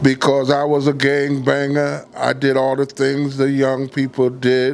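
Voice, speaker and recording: Over noticeable background noise, a man with an American accent speaks at a moderate pace and a fairly high pitch. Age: 70s. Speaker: volunteer ambulance corps commander. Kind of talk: personal testimony.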